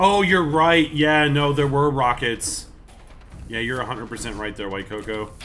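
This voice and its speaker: Over music in the background, a man with a fairly high voice speaks with lively intonation and big swings in loudness. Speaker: gaming streamer. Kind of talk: live stream chat while gaming. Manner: fast; casual, halting with fillers.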